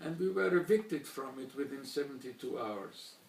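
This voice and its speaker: A man with a German accent, at a moderate pace. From Slovakia, Bratislava (then Czechoslovakia), later Hungary. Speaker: Holocaust survivor. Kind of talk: testimony speech. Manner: formal.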